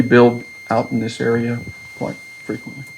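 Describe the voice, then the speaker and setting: A man with a Georgia accent talks at a moderate pace and medium pitch. Noticeable background noise and audible room echo fill the recording. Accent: US South (Georgia). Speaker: land acquisition manager for developer. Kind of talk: presentation to city council. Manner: loud.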